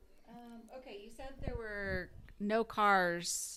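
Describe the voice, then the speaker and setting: Here a woman has an unremarkable speaking voice, medium in pitch, with ordinary pitch variation. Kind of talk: oral history interviewer questions.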